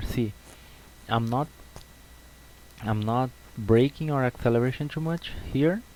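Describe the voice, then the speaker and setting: A man with a Brazilian accent speaks at a moderate pace, his medium pitch showing ordinary pitch variation. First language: Portuguese. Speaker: sim racing video creator. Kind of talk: tutorial. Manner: halting, with repetitions.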